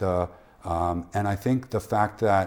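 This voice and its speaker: Speaking with a western Canadian accent, a man keeps a fairly low pitch and fairly even intonation. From Canada, Prince George, British Columbia. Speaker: journalist. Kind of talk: casual chat.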